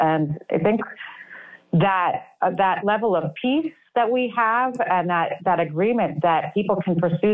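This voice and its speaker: Against a quiet background, a woman speaks at a fairly slow pace. Her pitch variation is ordinary. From New York City. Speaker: artist; guest. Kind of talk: casual interview. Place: home room. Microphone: webcam.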